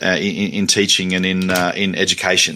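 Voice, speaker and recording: A man talks with an Australian accent. His tone is bright and sharp. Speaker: academic and teacher. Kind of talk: interview. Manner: halting, many fillers and repetitions.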